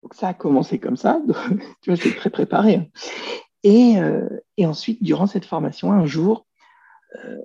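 This man's tone is dark and mellow, his intonation lively, and his pace fairly slow. The sound is dry and close, with no echo. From France. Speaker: personal development coach. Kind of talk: interview.

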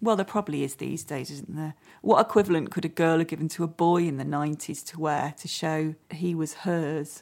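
A plain, everyday voice from a woman, fairly low in pitch, at a fairly quick pace with big swings in loudness. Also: very clean recording, silent background. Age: 40s. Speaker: podcast host and actress. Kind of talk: casual chat.

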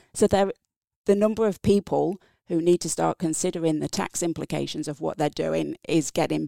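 A woman talks at a moderate pace in an English accent. The recording is dry and close, with no echo. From England. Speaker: tax specialist, former tax investigator. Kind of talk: interview. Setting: studio.

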